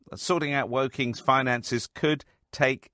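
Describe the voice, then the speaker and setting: Heard in a dry, close sound with no echo and a silent background on a very clean recording, a man has a normal speaking voice. His pitch is medium with ordinary variation, at a moderate pace. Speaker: radio presenter. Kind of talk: radio news interview. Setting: studio.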